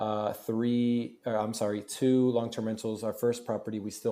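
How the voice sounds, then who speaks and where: Medium in pitch, a man's voice has a dark, mellow tone, an American accent, monotone, flat intonation, and a moderate pace. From Florida. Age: 30s. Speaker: real estate investor and hotel owner. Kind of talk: casual interview chat. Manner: halting, many fillers and restarts.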